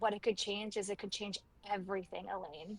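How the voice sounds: A woman's soft-spoken, breathy put-on character voice at medium pitch, monotone and flat in intonation, at a fairly quick pace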